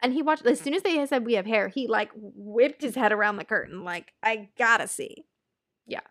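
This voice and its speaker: With an animated tone and lively intonation, a woman speaks at a fairly high pitch, her loudness swinging widely. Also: fairly quick pace. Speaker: podcast co-host, new mother. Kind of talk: casual chat.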